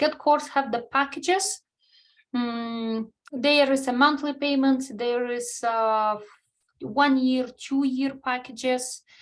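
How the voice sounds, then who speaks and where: A woman's high-pitched voice with a non-native accent, a very slow pace and fairly even intonation. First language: not English. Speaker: nail art educator. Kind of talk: webinar.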